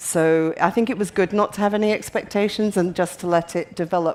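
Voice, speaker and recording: Speaking at a fairly quick pace in a Scottish accent, a woman keeps a fairly low pitch and fairly even intonation. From Scotland. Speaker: patient advocate. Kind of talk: panel discussion. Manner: halting.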